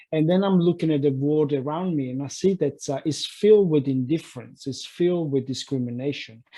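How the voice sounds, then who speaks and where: Talking at a fairly quick pace, a man uses a fairly high pitch with ordinary variation. His voice is dark, mellow and somewhat breathy. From Italy. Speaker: life coach. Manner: halting.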